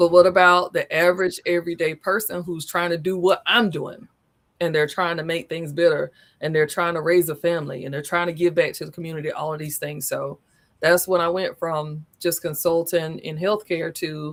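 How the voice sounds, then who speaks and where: A woman with a Southern US accent talks at a moderate pace in a monotone, flat intonation. Her loudness swings widely on a very clean recording with a silent background. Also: fairly low pitch for a woman. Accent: Southern country. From US South, Southern East Coast. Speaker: business consultant. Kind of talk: interview. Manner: talkative.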